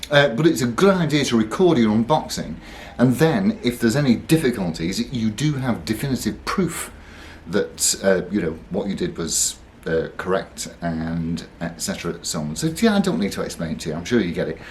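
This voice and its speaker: The speaker is somewhat breathy, moving at a moderate pace with very wide pitch swings. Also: man, medium pitch for a man. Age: 60s. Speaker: guitar reviewer. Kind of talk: unboxing video. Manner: hesitant, many fillers.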